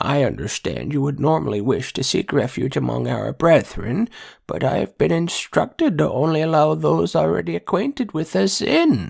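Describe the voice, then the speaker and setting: A man does a put-on character voice at medium pitch. His moderate pace has hardly any pauses, in a very clean recording with a silent background. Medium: read story. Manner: timid, apologetic.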